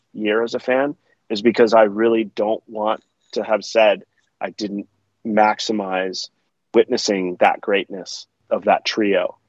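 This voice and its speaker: A man with an American accent uses a normal speaking voice. His pitch is medium and his intonation fairly even. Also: big swings in loudness. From US West Coast, Palo Alto, California. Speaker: skateboard video filmmaker. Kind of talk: casual interview conversation.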